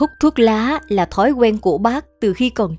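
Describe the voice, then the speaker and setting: With music playing in the background, a woman talks in a fairly high pitch. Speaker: narrator of story videos and voice coach. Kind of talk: storytelling narration, historical anecdotes read aloud.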